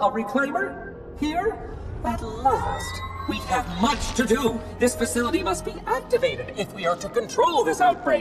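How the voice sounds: A man uses a put-on character voice at an extremely high pitch, with big pitch swings. He talks at a fairly slow pace with few pauses, while clear music plays in the background.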